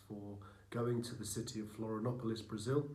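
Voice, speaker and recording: A man with a British accent talks at a fairly quick pace in a room with audible echo. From UK with Argentinian heritage. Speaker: missionary. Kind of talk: presentation. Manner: hesitant, with frequent fillers.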